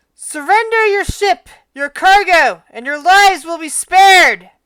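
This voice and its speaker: Putting on a character voice, a woman projects loudly at an extremely high pitch and a moderate pace. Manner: commanding, demanding surrender.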